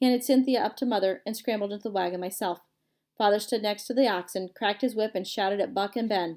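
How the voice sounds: Over a quiet background, a natural reading voice with ordinary shifts in pitch.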